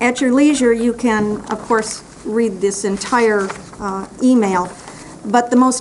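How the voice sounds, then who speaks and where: A woman's fairly high voice comes through over noticeable background noise. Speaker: public commenter at county meeting. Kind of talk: public comment.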